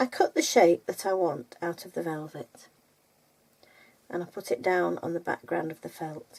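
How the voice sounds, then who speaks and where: A woman's dark, mellow voice in a Lancashire accent, at a moderate pace. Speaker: textile art teacher. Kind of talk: casual chat; tutorial. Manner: chatty, rambling.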